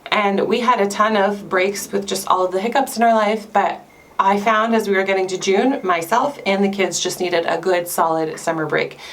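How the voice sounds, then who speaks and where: A woman with a Canadian accent speaks at a moderate pace and medium pitch, with ordinary pitch variation and hardly any pauses, over noticeable background noise and audible room echo. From Canada. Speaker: homeschooling mom vlogger. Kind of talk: casual vlog talk to camera. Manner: chatty, conversational.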